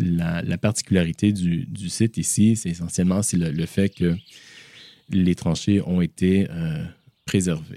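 Very deep, low male speech with fairly even intonation and a dark, mellow tone. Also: fairly slow pace, dry, close sound with no echo. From Canada (Toronto). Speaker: memorial project manager. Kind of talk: interview, guided site tour. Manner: halting, many repeated words and fillers.

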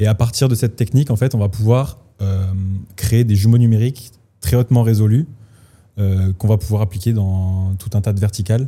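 Fairly low male voice, dark and mellow, somewhat breathy, at a fairly quick pace broken by long, frequent pauses. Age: 20s. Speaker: startup co-founder, surveying engineer. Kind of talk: casual interview.

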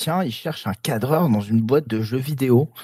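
In a dry, close recording with no echo, a man of medium pitch speaks with ordinary pitch variation. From southern France. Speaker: video game director. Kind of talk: interview. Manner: halting.

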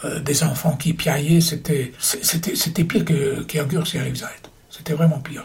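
A man's fairly high, flat, monotone voice at a very slow pace, with noticeable background noise. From Austria (Vienna). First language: German (speaking French). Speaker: Holocaust survivor and war veteran. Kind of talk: testimony. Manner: halting.

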